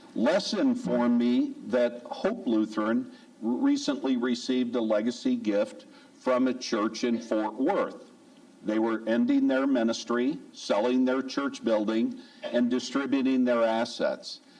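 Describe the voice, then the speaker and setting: A man with an American accent talks at a fairly slow pace and very even loudness, with noticeable background noise and audible room echo. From US Midwest. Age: 60s. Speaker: church lay speaker, giving ministry chair. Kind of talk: church talk on giving. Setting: church service.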